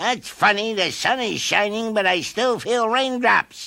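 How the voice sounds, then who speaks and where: The delivery is fairly slow. It is a put-on character voice pitched fairly high. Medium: read story. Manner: gentle, warm.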